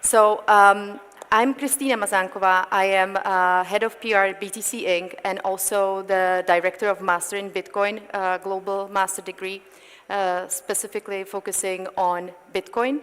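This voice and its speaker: Speaking with a Czech accent, a woman keeps a moderate pace, a medium pitch and fairly even intonation. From Czech Republic. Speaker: panel moderator. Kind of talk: panel discussion. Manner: halting, many fillers.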